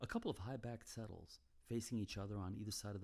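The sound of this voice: The intonation holds fairly even. The delivery is an unforced reading voice.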